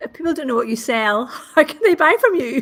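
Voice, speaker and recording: With a Northern Irish accent, a woman speaks high-pitched and fairly quick, her intonation lively. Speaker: marketing consultant. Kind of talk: casual chat. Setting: live stream.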